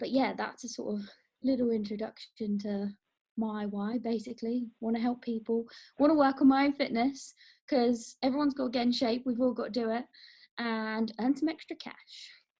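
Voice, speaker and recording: A woman with a southern English accent speaks at a moderate pace in a high voice with a dark, mellow tone and fairly even intonation. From England, near London. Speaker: wellness coach. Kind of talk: casual group introduction on a call.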